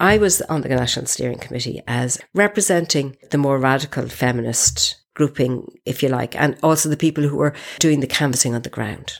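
A woman's very deep, low voice with vocal fry and ordinary pitch variation. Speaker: feminist activist. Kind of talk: interview testimony.

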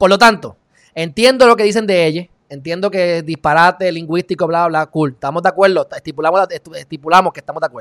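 A man's high voice at a very fast pace, with ordinary pitch variation and big swings in loudness, in a dry, close, echo-free and very clean recording with a silent background. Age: 20s. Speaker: online talk show host. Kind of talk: casual interview.

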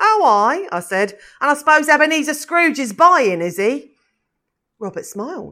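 With an animated tone and a raised, projected voice, a woman speaks at a moderate pace and high pitch, her bright, sharp tone showing very wide pitch swings and big swings in loudness on a very clean recording with a silent background. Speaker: actor reading a monologue as Mrs Cratchit. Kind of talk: literary audiobook reading, first-person character monologue in a Victorian voice. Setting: theatre company audio production. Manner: animated storytelling, voicing Robert and Scrooge in quoted dialogue.

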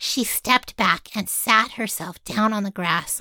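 Text read aloud plainly

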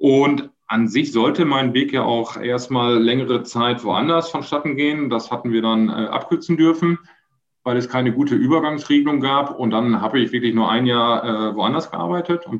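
A man's medium-pitched voice in a Dutch accent, at a moderate pace with ordinary pitch variation. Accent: German with Dutch-tinged features. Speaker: construction company managing director. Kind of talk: interview. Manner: halting.

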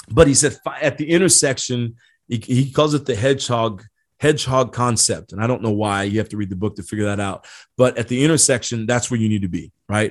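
A man with an unremarkable speaking voice talks at medium pitch and a fairly quick pace, with ordinary pitch variation, against a quiet background. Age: 40s. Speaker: leadership podcast host. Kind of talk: solo podcast monologue with book reading. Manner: casual with frequent fillers and repeated words.

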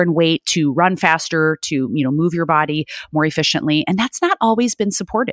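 In a plain, everyday voice with an American accent, the speaker talks at a fairly quick pace with lively intonation, the sound dry and close with no echo on a very clean recording with a silent background. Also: woman. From Chicago, US Midwest. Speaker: bariatric sports dietitian, podcast host. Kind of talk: solo educational podcast talk.

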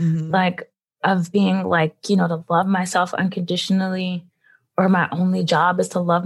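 Somewhat breathy and fairly low, a woman's voice with an American accent moves at a moderate pace with fairly even intonation. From Philadelphia, US. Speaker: physician and medical school teacher. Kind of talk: casual interview.

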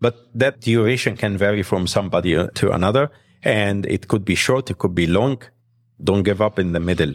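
With a fairly low pitch and an Arabic accent, a man speaks fairly quickly with ordinary pitch variation in a dry, close sound with no echo on a very clean recording with a silent background. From Egypt. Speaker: pediatric heart surgeon. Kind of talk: interview.

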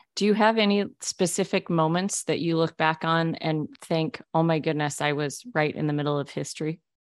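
A woman with an ordinary speaking voice talks at a moderate pace, hardly pausing, with a fairly low pitch and ordinary pitch variation. The sound is dry and close with no echo, over a quiet background. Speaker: podcast host. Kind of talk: interview.

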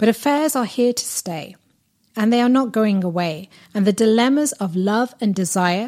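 This woman, with a British accent, speaks at a moderate pace in a fairly high pitch with a dark, mellow tone and lively intonation, on a very clean recording with a silent background. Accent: British-sounding. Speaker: podcast host and relationship coach. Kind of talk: monologue.

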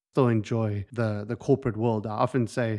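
Speaking at a moderate pace and medium pitch, a man talks in a South African accent. The background is quiet, and the sound is dry and close with no echo. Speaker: incoming ministry leader, coach. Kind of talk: casual interview.

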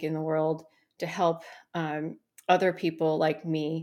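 A fairly low-pitched woman with an American accent, on a very clean recording against a silent background. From US, Taiwanese American family. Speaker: startup founder and coach. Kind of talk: interview conversation.

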